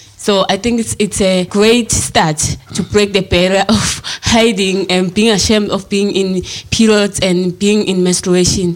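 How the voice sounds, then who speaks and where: Over noticeable background noise, a woman talks at a fairly slow pace in a monotone, flat intonation with very even loudness. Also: medium pitch for a woman. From Eswatini. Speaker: activist. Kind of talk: interview.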